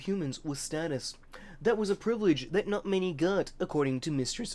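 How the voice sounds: The clip has a natural reading voice. Its intonation is lively.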